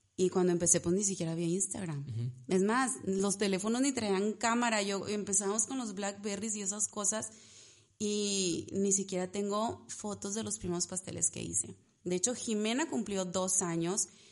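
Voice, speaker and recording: Noticeable background noise sits behind a woman talking at a moderate pace. Her pitch is medium, with ordinary variation. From Mexico, Ciudad Victoria, Tamaulipas. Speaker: pastry chef and entrepreneur. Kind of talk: casual chat.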